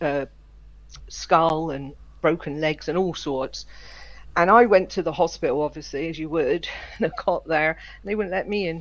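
Using vocal fry and a fairly low pitch, a woman speaks at a moderate pace with ordinary pitch variation and long, frequent pauses. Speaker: guest and gamer. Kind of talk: casual group chat.

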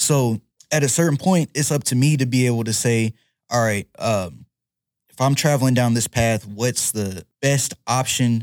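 A man's unremarkable speaking voice at medium pitch, fairly slow, with ordinary pitch variation, in a dry, close sound with no echo, in a very clean recording with a silent background. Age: 20s. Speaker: MMA fighter. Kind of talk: casual chat.

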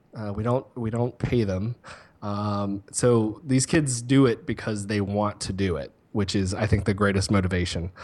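A man talks in an unremarkable speaking voice at fairly low pitch. His pace is fairly slow. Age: 30s. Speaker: university social media and digital marketing specialist. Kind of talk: casual interview chat.

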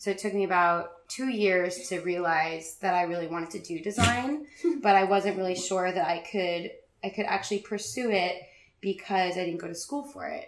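At medium pitch and a moderate pace, a woman speaks in a plain, everyday voice. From Richmond, Virginia, US. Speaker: graphic designer and business owner. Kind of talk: casual interview.

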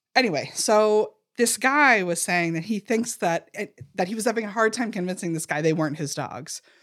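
An unremarkable speaking voice at a fairly quick pace, with lively intonation, on a very clean recording with a silent background. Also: woman, medium pitch for a woman. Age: 40s. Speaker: podcast co-host. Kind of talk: casual chat.

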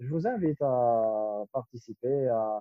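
The speaker is a man. There's only modest rise and fall in his intonation, which stays fairly even. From Algeria. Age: 20s. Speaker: entrepreneur. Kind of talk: interview. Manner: halting, frequent repetitions.

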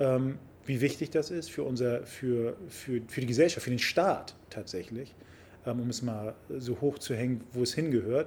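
Somewhat breathy, a man speaks at a fairly slow pace with a medium pitch and ordinary pitch variation. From Hamburg, Germany (Harburg/Wilhelmsburg). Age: 50s. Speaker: member of parliament. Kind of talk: casual interview. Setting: sports club.

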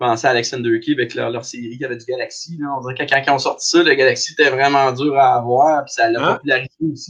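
A man talks at a very fast pace with hardly any pauses. His intonation is monotone and flat, with big swings in loudness. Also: medium pitch for a man. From Abitibi, northern Quebec. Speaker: craft brewer. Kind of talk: casual chat.

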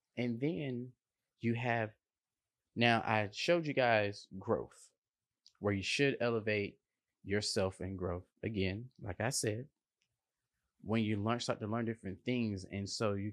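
A man speaks at a fairly slow pace with a fairly low pitch and ordinary pitch variation against a quiet background. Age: 30s. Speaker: motivational podcast host. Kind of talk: motivational monologue. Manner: casual.

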